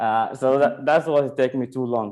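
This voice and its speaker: Fairly quick and fairly even in intonation, a man speaks. His voice has a dark, mellow tone. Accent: non-native. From Sudan. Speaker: stand-up comedian. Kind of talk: stand-up.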